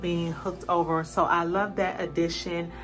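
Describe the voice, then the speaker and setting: A woman talks at a fairly slow pace in a very deep, low pitch. Music plays clearly in the background. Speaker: lifestyle vlogger. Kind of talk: casual vlog chat. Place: bathroom. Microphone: phone near.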